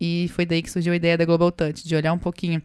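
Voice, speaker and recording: Very fast and monotone, with flat intonation, a woman talks in a fairly low voice. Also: dry, close sound with no echo. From Brazil, Minas Gerais. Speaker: startup co-founder. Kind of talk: podcast interview.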